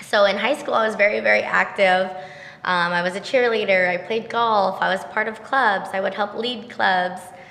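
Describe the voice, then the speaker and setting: Amid audible room echo, a woman talks at a moderate pace and medium pitch with fairly even intonation. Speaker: entrepreneur. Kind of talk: podcast interview.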